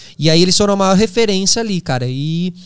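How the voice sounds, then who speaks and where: Lively intonation drives this very fast-paced delivery. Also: man. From São Paulo, Brazil. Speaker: podcast host and former TV reporter. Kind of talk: casual interview conversation.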